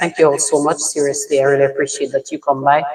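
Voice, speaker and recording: A man talks with a fairly high pitch and fairly even intonation. Noticeable background noise is present throughout. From Dominica. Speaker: social media creator. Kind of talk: livestream chat. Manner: halting, with fillers and restarts.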